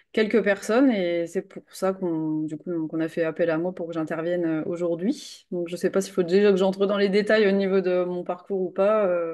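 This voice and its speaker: Against a quiet background, a woman speaks at a moderate pace with hardly any pauses. Her medium-pitched voice has a dark, mellow tone and fairly even intonation. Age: 30s. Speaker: nutrition and sports coach. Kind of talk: interview. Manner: casual, hesitant.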